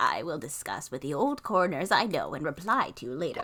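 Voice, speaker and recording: Putting on a character voice, a woman speaks at a fairly quick pace with medium pitch and very wide pitch swings. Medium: game stream. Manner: polite, modest.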